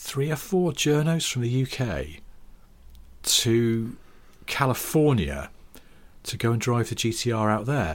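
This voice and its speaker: With a British accent, a man speaks at medium pitch and a very slow pace with long, frequent pauses, on a very clean recording with a silent background. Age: 40s. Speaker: podcast co-host, motoring writer. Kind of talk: casual chat.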